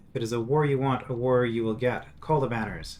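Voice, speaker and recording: Putting on a character voice, a man talks at a fairly quick pace and a medium pitch. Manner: through gritted teeth, angry.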